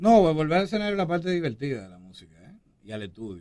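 A man speaks at a fairly quick pace, his pitch fairly high. His tone is dark and mellow, with very wide swings in pitch. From Dominican Republic, Santo Domingo. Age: 40s. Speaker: hip hop artist. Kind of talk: interview.

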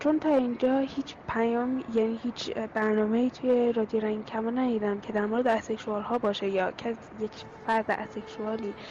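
Fairly quick and fairly high-pitched, a woman talks with fairly even intonation over noticeable background noise.

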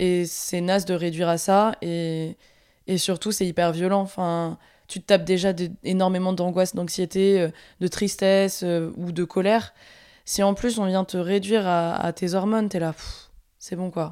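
A woman speaks at a fairly slow pace with a dark, mellow tone and medium pitch. Her delivery is monotone and flat, captured in a very clean recording with a silent background. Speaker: podcast host. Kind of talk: casual chat. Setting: recording at parents' house.

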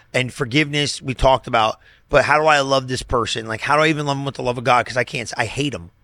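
A man with an American accent and medium pitch speaks at a very fast pace in an animated tone. His voice is bright and sharp, and the recording is very clean with a silent background. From US Northeast. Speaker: pastor. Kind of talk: casual chat.

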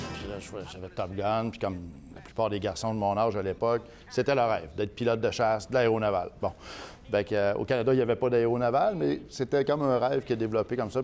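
A man talks at a fairly quick pace with a medium pitch and ordinary pitch variation. He has an unremarkable speaking voice. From Quebec City region, Quebec. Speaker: politician. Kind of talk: interview.

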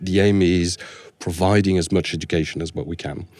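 A man with a French accent speaks at a fairly quick pace in a very deep, low pitch, his tone dark and mellow. His intonation stays fairly even in a very clean recording with a silent background. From France. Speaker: security architect. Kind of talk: podcast interview.

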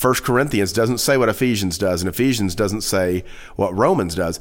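The recording is very clean and the background is silent. A man does the talking. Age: 40s. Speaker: pastor. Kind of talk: casual chat.

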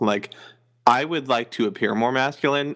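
An ordinary speaking voice from a man with an American accent, ordinary pitch variation and a moderate pace, on a very clean recording with a silent background. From northern US. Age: 20s. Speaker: podcast host. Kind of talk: casual chat.

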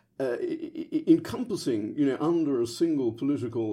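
A man with a British accent speaks at a moderate pace. His tone is dark and mellow, with ordinary pitch variation. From London, England. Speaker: history professor. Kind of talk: academic interview answers.

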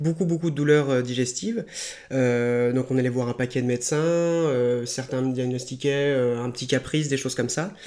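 With fairly even intonation and a moderate pace, a man uses a plain, everyday voice at a medium pitch. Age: 20s. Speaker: qigong and martial arts practitioner. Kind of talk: interview about his life.

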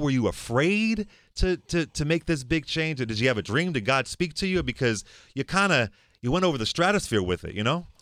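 Pitch swings very widely at a fairly quick pace on a very clean recording with a silent background. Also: man. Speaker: talk show host. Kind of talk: interview.

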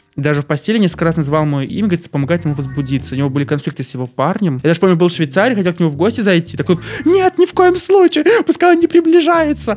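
A man's very fast speech over noticeable background noise. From Belarus, Novopolotsk. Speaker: podcast guest. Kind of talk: casual chat.

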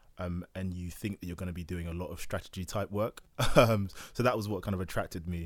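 In a London accent, a man with a very deep, low pitch talks at a very fast pace and fairly even intonation, on a very clean recording with a silent background. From Southeast London. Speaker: management consultant. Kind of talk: casual chat.

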